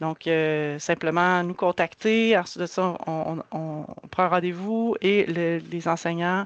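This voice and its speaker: A woman with a Quebec accent, fairly low pitch, very slow pace, fairly even intonation, and a quiet background. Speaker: community organization worker. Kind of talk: presentation. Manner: halting, many repetitions.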